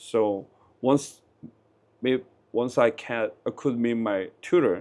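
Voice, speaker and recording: In a Korean accent, a man speaks at a very slow pace with a medium pitch and fairly even intonation. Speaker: interviewee. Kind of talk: street interview. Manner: halting.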